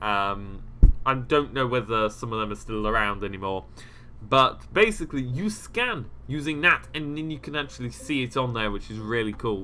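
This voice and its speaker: This man's voice has a bright, sharp tone at a medium pitch. His pitch varies in an ordinary way. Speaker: gaming YouTuber. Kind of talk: game mod showcase commentary. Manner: fast.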